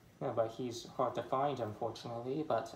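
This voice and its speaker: Somewhat breathy and fairly even in intonation, a man's voice carries audible room echo over light background noise. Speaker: toy collector vlogger. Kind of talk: angry rant, unscripted, about toys. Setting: home, filming alone with toys. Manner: halting, stuttering, venting. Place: home room. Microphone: phone near.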